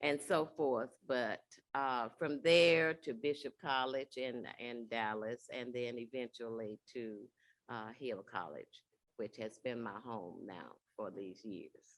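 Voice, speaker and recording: In a Southern US accent, a woman with a very deep, low pitch speaks at a very slow pace with ordinary pitch variation. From Alabama. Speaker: college staff member. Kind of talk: panel interview. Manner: hesitant, many fillers.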